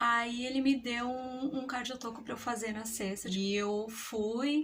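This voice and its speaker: A woman's high-pitched voice. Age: 30s. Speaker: mother. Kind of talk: personal story told to camera. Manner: casual, conversational.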